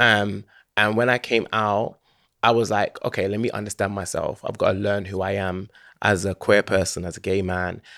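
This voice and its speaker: A man with a London accent, fairly low in pitch, bright and sharp in tone, monotone and flat, at a moderate pace, in a very clean recording with a silent background. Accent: London Multicultural English. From London, Hackney. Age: 30s. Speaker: DJ and videographer. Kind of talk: casual chat.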